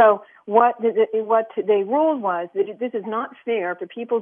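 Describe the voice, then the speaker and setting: At a moderate pace, a woman with a plain, everyday voice talks at a fairly high pitch with ordinary pitch variation. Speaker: caller. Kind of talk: call-in discussion. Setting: phone call.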